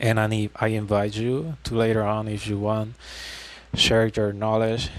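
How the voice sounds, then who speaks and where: Fairly low in pitch, a man speaks at a fairly slow pace in a monotone with flat intonation. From Puerto Rico. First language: Spanish. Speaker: gaming YouTuber. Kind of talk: tutorial. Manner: halting.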